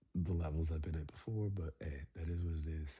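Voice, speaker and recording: With music in the background, the speech goes at a moderate pace. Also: man. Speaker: dating vlogger. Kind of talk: casual monologue. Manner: halting.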